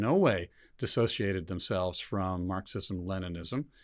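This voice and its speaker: In a very clean recording with a silent background, a man with an ordinary speaking voice talks at a moderate pace, his fairly low pitch showing ordinary variation. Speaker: show host. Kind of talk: panel discussion. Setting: studio.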